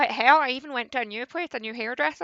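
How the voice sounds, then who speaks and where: The tone is bright and sharp, with lively intonation. The sound is dry and close, with no echo. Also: woman. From Scotland. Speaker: streamer. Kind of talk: casual live-stream chat.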